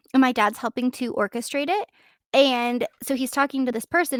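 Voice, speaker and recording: In a very clean recording with a silent background and a dry, close sound with no echo, a woman talks at a fairly quick pace in a squeaky voice with an animated tone. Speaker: podcast co-host. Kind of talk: casual chat.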